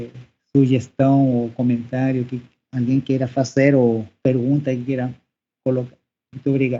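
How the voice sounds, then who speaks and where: With a Spanish accent, a man speaks in a dark, mellow tone, monotone and flat, with long, frequent pauses. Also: medium pitch for a man, moderate pace. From Chile, Santiago. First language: Spanish (speaking Portuguese). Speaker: professor. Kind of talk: podcast interview. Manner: halting.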